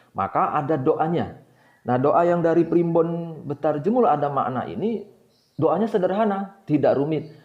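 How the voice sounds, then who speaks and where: With a Javanese accent, a man talks at a moderate pace in a fairly high pitch, his intonation lively, while audible room echo surrounds him. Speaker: book discussion channel host. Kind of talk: informal lecture. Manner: many hesitations (eh).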